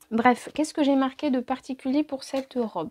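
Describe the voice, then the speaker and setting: A woman speaks at a moderate pace in a high voice. The sound is dry and close, with no echo. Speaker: sewing vlogger. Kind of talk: casual sewing review monologue. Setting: home sewing workshop. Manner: hesitant, many fillers.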